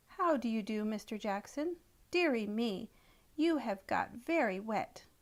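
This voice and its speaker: A woman puts on a character voice at a fairly high pitch. Her pace is moderate. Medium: read story. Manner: prim, fussy.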